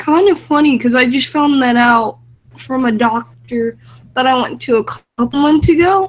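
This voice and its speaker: A woman's high-pitched voice at a fairly slow pace. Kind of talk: casual panel discussion.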